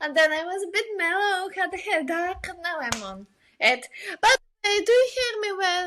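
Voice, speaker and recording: A woman uses a raised, projected voice at an extremely high pitch. Her intonation is lively. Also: moderate pace, big swings in loudness. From Bulgaria. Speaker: illustrator and designer. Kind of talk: interview.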